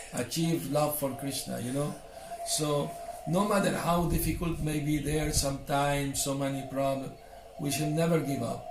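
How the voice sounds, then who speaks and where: There is audible room echo and noticeable background noise as a man speaks at a moderate pace. His voice sits fairly high, with fairly even intonation. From Syria and Venezuela. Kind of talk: interview about life story.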